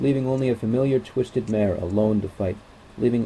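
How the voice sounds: This is a natural reading voice. It carries through the clip.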